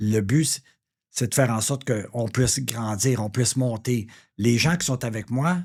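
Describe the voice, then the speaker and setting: A man's somewhat breathy, medium-pitched voice at a fairly slow pace with ordinary pitch variation, on a very clean recording with a silent background. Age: 60s. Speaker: real estate broker. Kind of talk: interview. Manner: hesitant, many fillers.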